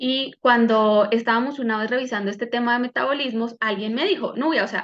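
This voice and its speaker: A fairly quick, high-pitched woman's voice. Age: 30s. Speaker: medical doctor and wellness coach. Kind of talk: online health workshop talk.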